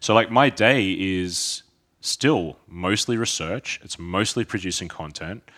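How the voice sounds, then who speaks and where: On a very clean recording with a silent background, a man speaks at a very slow pace and fairly low pitch, with ordinary pitch variation and big swings in loudness. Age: 30s. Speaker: personal trainer and fitness educator. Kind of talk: casual chat.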